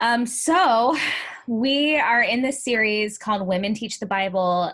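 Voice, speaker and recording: In a normal speaking voice, a woman talks fairly slowly with an American accent. Her intonation is lively. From US Midwest, Ferguson, Missouri (St. Louis area). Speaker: podcast host, youth ministry organization founder. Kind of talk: casual interview chat.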